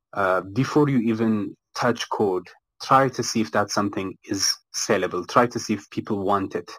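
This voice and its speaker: An ordinary speaking voice, ordinary pitch variation, and a very clean recording with a silent background. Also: man. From Ethiopia, Addis Ababa. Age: 20s. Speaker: game studio founder and software engineer. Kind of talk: live audio room interview.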